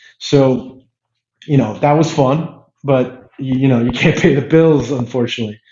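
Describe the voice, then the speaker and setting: Somewhat breathy and in an American accent, the voice moves at a moderate pace with fairly even intonation. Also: man, medium pitch for a man. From California (Hayward). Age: 40s. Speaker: media company CEO. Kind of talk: casual interview. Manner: halting, many repetitions.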